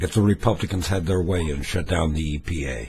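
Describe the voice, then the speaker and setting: Vocal fry marks the voice of a man with an American accent, who speaks at a moderate pace. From US West Coast, Los Angeles. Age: 70s. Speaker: political vlogger, former talk show host. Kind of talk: opinion rant monologue.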